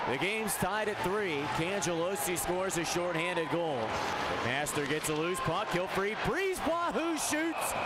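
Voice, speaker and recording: Lively intonation runs with hardly any pauses, while noticeable background noise sits underneath. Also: man, high pitch for a man, fairly slow pace, very even loudness. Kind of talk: live commentary. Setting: broadcast over game footage.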